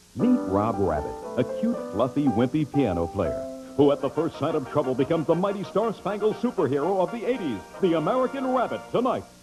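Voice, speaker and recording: Music sits in the background as a man talks fairly quickly with hardly any pauses, a fairly high pitch and very wide pitch swings. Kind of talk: TV promo announcer read.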